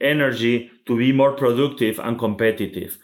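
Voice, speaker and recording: A man with a Spanish accent speaks at a moderate pace with ordinary pitch variation. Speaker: logistics real estate executive. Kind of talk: interview. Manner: halting.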